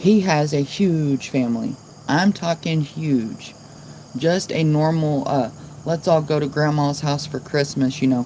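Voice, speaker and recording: Noticeable noise fills the background. The talking goes along fairly slowly. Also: woman, very deep, low pitch for a woman. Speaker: live streamer. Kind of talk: casual chat. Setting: livestream. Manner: monotone.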